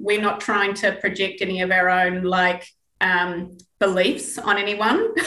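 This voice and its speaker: A woman with a New Zealand accent and a bright, sharp tone, at a fairly slow pace, with audible room echo. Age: 40s. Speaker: Pilates instructor, podcast co-host. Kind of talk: casual chat.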